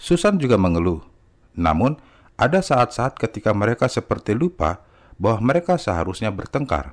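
A man at a medium pitch makes very wide pitch swings while keeping his loudness very even. The recording is very clean, with a silent background. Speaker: audiobook narrator. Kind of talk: audiobook narration, reading aloud a nonfiction book. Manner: steady, even, measured storytelling pace; clear, formal, explanatory tone.

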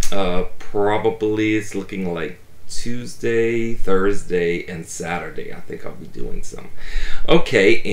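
A man at a fairly slow pace with big swings in loudness, in audible room echo. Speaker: toy collector vlogger. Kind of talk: casual vlog chat. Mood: warm, grateful. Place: home room.

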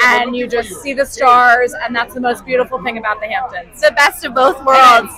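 Against a dry sound with no echo, a woman talks at a moderate pace with a high pitch. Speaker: interviewee. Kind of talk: interview answer. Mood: upbeat, enthusiastic. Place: street. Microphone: handheld.

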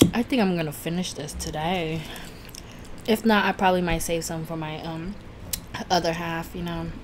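Over noticeable background noise, a woman with a fairly low pitch talks at a moderate pace with fairly even intonation and long, frequent pauses. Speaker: food YouTuber. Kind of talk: mukbang eating video, casual talk to camera. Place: home room.

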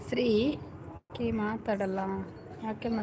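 A woman with a fairly high pitch speaks while noticeable background noise carries on around her. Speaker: live-stream host. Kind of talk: casual live-stream chat with viewers. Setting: house-warming function at home.

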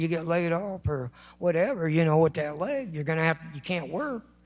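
A man speaks in an American accent. His pitch is high. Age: 60s. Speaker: public commenter at city council. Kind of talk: public comment speech. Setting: city council chamber. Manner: impassioned, pleading.

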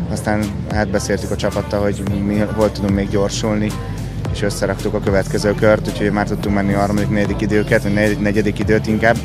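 Clear music plays in the background as a man talks at a very fast pace. The sound is dry, with no echo. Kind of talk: interview answer. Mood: content, relieved after finishing. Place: street. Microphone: handheld.

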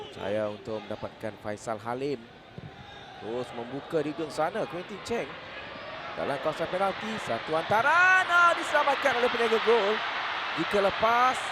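An excited voice with a Malaysian accent swings very widely in pitch at a moderate pace over noticeable background noise. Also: man, high pitch for a man. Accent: Malaysian Malay. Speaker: football commentator. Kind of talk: live sports commentary. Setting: stadium. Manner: excited bursts at goals, clipped phrases.

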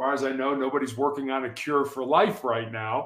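Speaking with an American accent, a man talks at a moderate pace in a fairly high pitch for a man. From US Midwest, south side of Chicago. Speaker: motivational speaker and author. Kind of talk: casual interview. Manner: hesitant, repeats words.

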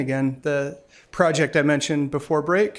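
A fairly quick pace from a man's voice. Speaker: event host introducing a speaker. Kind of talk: speaker introduction. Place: hall. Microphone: podium.

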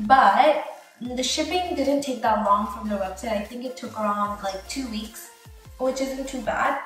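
Over faint music in the background, a woman with a high pitch and ordinary pitch variation talks at a moderate pace in a room with audible echo. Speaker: DIY vlogger. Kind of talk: casual tutorial chat. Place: bathroom. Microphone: phone near.

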